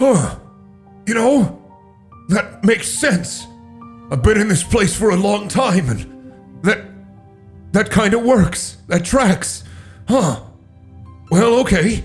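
A man's high, put-on character voice at a fairly slow pace, with lively intonation, long and frequent pauses, and faint music in the background. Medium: actual play.

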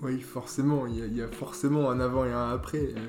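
A man speaks at a moderate pace with fairly even intonation and a medium pitch. The room echo is audible, and there is noticeable background noise. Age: 20s. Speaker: engineering student. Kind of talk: interview. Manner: hesitant, many fillers.

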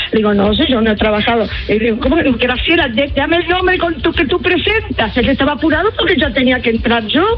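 Over noticeable background noise, a woman talks very fast at a high pitch with hardly any pauses, very wide pitch swings and very even loudness. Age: 70s. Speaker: singer. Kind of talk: radio interview.

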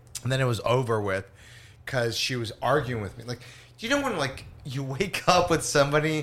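The man's voice sits at a medium pitch, moving at a fairly quick pace with ordinary pitch variation. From Los Angeles. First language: Spanish. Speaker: stand-up comedian. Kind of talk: casual chat. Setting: studio.

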